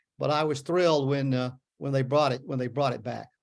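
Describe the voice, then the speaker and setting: A man with a Memphis accent at a fairly quick pace, against a quiet background. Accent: Southern US (Memphis). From US South. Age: 70s. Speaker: author. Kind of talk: book talk Q&A. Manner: halting, many fillers and repeats.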